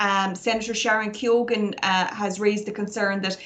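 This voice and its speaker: A woman's medium-pitched voice with an Irish accent at a moderate pace. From Ireland, Galway. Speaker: barrister. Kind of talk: interview.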